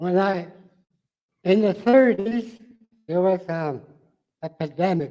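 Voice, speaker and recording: A man with a dark, mellow tone speaks at a very slow pace, leaving long, frequent pauses and using ordinary pitch variation. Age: 80s+. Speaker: community elder. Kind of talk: conference talk. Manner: halting.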